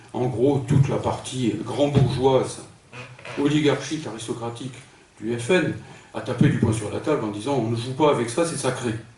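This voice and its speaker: A medium-pitched man talks at a moderate pace with fairly even intonation and long, frequent pauses, amid audible room echo and noticeable background noise. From northern France, Pas-de-Calais. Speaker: philosopher, political speaker. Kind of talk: lecture. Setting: conference hall with audience. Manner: hesitant, with frequent fillers.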